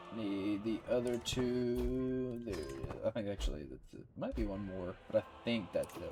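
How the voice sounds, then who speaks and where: A man at a fairly slow pace, his loudness swinging widely, with music in the background. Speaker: gaming video creator. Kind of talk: let's play commentary. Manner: halting, many fillers.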